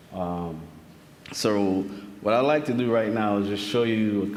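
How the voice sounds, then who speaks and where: A man talks at a fairly low pitch. There is audible room echo around his voice. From Saint Vincent (Caribbean). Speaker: archivist researcher presenter. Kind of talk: conference presentation.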